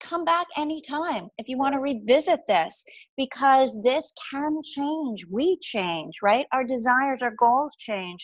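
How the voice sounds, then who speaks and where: A woman speaks at a fairly slow pace in a high voice with an American accent, ordinary pitch variation, and a dry, echo-free sound over a quiet background. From Boston. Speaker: life coach. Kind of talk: webinar presentation. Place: home room. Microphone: earbuds.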